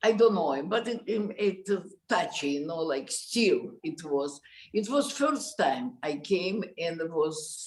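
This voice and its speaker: Speaking with a Russian accent at a very slow pace, a woman uses a medium pitch with very wide pitch swings. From Russia, Moscow. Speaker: concert pianist. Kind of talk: interview conversation. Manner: halting.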